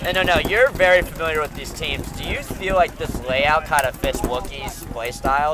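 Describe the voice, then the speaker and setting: Noticeable background noise sits behind a man speaking at a moderate pace. His pitch is fairly high, and he leaves hardly any pauses. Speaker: paintball commentator. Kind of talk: live commentary. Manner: loud; animated.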